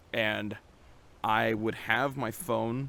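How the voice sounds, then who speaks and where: This is a man with a medium pitch. Vocal fry runs through his voice. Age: 20s. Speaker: vlogger. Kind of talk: casual vlog monologue. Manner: hesitant, many fillers.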